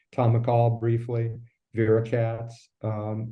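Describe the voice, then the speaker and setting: At a very slow pace, a man speaks at a medium pitch in a monotone, flat intonation, with audible room echo. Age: 60s. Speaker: former politician. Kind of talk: interview conversation. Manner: halting, many fillers.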